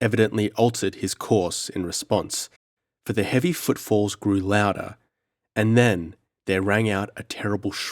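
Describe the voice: Plain reading aloud in fairly even intonation over a quiet background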